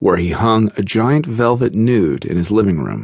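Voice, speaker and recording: Here is a man with an unremarkable speaking voice, fairly low in pitch, talking at a moderate pace with lively intonation. The sound is dry and close, with no echo. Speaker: audiobook narrator. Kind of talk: audiobook narration, first-person memoir reading. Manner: measured, steady narrator pace; earnest, confessional tone.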